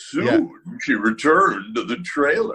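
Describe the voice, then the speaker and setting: In a put-on character voice, a man speaks at a fairly slow pace. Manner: dramatic, suspenseful.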